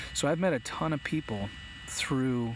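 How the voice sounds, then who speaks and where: A man is talking. Noticeable background noise comes through. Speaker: drone YouTuber. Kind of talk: live stream chat. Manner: halting.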